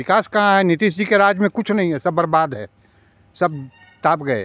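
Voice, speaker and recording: A man's high voice with lively intonation at a moderate pace, music playing behind him. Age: 60s. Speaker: shopkeeper. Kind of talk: street interview.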